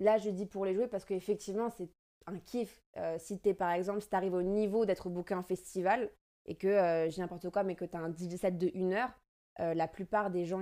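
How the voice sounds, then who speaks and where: On a very clean recording with a silent background, a woman speaks at a fairly quick pace. Her medium-pitched voice has a dark, mellow tone and fairly even intonation. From France. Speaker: DJ and dancer. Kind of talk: casual interview. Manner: halting, many hesitations.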